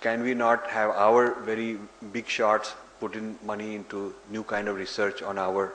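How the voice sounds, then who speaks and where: Over noticeable background noise and audible room echo, a man speaks in a fairly low pitch. His intonation is monotone and flat, and his pace is fairly slow. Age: 60s. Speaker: author and lecturer. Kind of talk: lecture Q&A.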